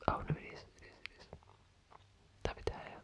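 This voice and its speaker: Someone whispers at a fairly quick pace in a relaxed tone. Noticeable background noise runs underneath. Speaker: FIFA ASMR content creator. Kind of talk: casual talk to camera, gaming commentary. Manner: whispered, relaxed.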